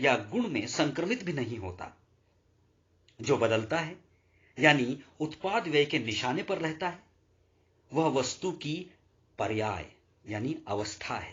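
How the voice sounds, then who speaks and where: Long, frequent pauses and very wide pitch swings from a man. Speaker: audiobook narrator. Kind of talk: audiobook reading of a religious philosophy text.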